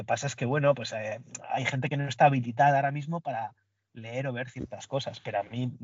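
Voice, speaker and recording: A somewhat breathy man at medium pitch, talking at a very fast pace with fairly even intonation. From Basque Country, Spain. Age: 40s. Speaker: podcast guest, Bond fan. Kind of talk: casual chat.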